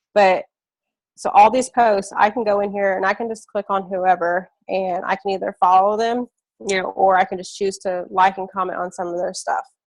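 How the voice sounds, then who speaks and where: In a monotone, flat intonation, a woman talks at medium pitch. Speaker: network marketing trainer. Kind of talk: live training webinar. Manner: fast; casual, filler-heavy.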